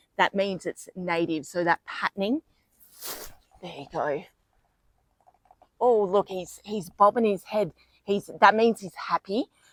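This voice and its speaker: A woman in an Australian accent speaks fairly slowly at a medium pitch with ordinary pitch variation, the sound dry and close with no echo. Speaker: vlogger. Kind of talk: casual video tour. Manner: soft-spoken.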